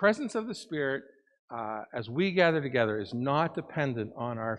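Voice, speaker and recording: The speaker is a man. He goes at a moderate pace against a quiet background. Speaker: lead pastor. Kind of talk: sermon. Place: church.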